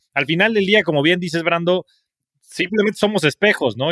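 A man with a bright, sharp tone speaks at a very fast pace in a dry, close sound with no echo. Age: 30s. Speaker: podcast host. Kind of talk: interview.

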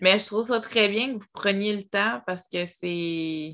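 With a Quebec accent, a woman speaks at a medium pitch and a fairly slow pace in a bright, sharp tone, on a very clean recording with a silent background. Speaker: podcast host. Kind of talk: casual interview.

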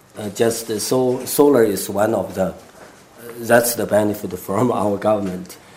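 Noticeable background noise surrounds a man with a fairly low pitch. He talks at a fairly slow pace with fairly even intonation. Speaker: solar energy company founder. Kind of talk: panel interview.

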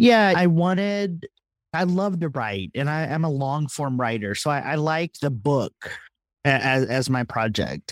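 A man with a Texan accent and lively intonation at a fairly slow pace, on a very clean recording with a silent background and a dry, close sound with no echo. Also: fairly high pitch for a man. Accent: Texan accent, brought back after hiding it. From Texas. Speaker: theologian and author. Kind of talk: interview conversation.

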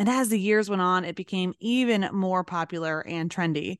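A woman's unremarkable speaking voice at medium pitch, with ordinary pitch variation, a dry, close sound with no echo and a quiet background. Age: 40s. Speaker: podcast host and pet business coach. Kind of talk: solo business podcast monologue.

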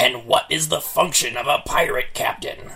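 A man's raspy, theatrical, put-on character voice at a moderate pace. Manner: gruff, theatrical.

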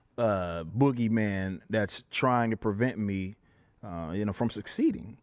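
A man with an unremarkable speaking voice talks at a moderate pace in a fairly low pitch with ordinary pitch variation, in a very clean recording with a silent background. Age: 20s. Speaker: rapper and metal band frontman. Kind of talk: casual chat.

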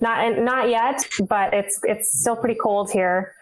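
A woman speaks with a Canadian Prairies accent. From Winnipeg, Canada. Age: 20s. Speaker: curler. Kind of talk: casual chat.

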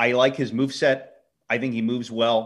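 A medium-pitched man is heard in a very clean recording with a silent background. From Philadelphia. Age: 30s. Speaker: wrestling podcast co-host. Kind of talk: casual chat.

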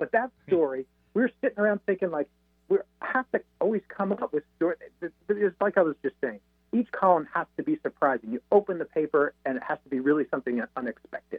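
The voice moves at a fairly quick pace and makes very wide pitch swings. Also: man, high pitch for a man. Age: 40s. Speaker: author and automotive columnist. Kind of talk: interview.

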